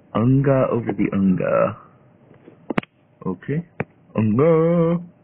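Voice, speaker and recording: Lively intonation marks this man's fairly high-pitched voice as he talks at a very slow pace. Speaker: gaming YouTuber. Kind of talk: gameplay commentary. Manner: animated.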